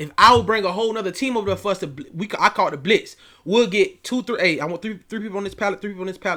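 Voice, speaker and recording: A man speaks in a raised, projected voice at a very fast pace, his bright, sharp tone animated with ordinary pitch variation on a very clean recording with a silent background. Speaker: youth coach and online academy founder. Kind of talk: casual vlog talk.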